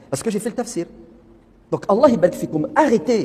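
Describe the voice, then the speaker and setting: Over noticeable background noise, a man speaks at a moderate pace in an animated tone, his pitch swinging very widely. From France. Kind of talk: religious talk.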